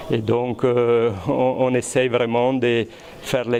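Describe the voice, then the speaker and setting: There is noticeable background noise as a man speaks in a monotone, flat delivery with an Italian accent. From Italy. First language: Italian (speaking French). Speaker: research scientist. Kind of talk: interview. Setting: high school classroom or lab. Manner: hesitant, many fillers and repetitions.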